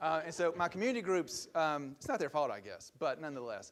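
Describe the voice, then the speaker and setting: A man with a Southern US accent talks very fast in a fairly high pitch. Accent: Southern US (Georgia). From US South, Georgia (LaGrange). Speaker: political science professor. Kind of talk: lecture.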